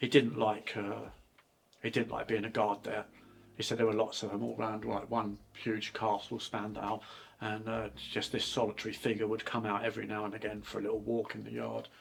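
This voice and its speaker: Vocal fry, a fairly quick pace and monotone, flat intonation, in an English accent. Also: man, fairly low pitch for a man. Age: 60s. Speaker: channel host's father. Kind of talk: casual chat. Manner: halting.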